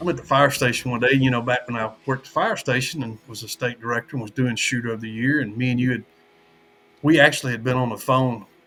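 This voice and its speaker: Over background music, a man with a Southern US accent talks at a very fast pace and a medium pitch. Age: 60s. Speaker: archery tournament director. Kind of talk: casual chat.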